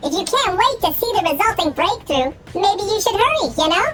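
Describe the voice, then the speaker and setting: A squeaky put-on character voice speaks at an extremely high pitch and a fairly quick pace. Clear background noise runs underneath. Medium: game stream. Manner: chirpy, overexcited, talks up high.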